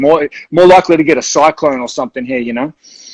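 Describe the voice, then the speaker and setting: With a New Zealand accent, a man with a fairly high voice races along at a very fast pace. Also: dry, close sound with no echo. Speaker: rock band frontman. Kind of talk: casual interview chat. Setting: video call livestream. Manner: casual, halting with fillers.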